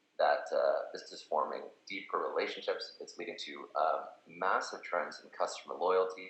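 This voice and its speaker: A man's voice with audible room echo. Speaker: company representative presenting product. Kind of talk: webinar product presentation. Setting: online webinar. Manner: fast; many fillers and repetitions.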